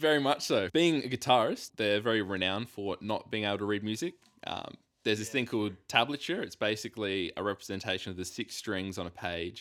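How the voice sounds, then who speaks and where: A fairly low-pitched man with an Australian accent at a fairly quick pace, with ordinary pitch variation. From South Australia (Whyalla). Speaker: investor and podcast team member. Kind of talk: casual chat.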